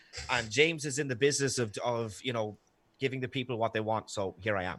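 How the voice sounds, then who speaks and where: On a very clean recording with a silent background, a man with an Irish accent speaks at a medium pitch with ordinary pitch variation. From Ireland. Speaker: debater. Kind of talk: opening statement in a debate. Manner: hesitant, many fillers.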